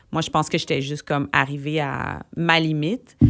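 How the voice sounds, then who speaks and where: Her voice is very deep and low in pitch. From Quebec, Gatineau (Outaouais). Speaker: singer-songwriter. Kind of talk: radio interview. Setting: radio studio. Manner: animated, casual with many fillers.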